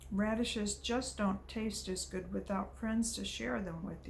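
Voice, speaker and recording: Clear background noise sits behind a put-on character voice. The pace is moderate. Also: woman. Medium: read story. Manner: eager, restless.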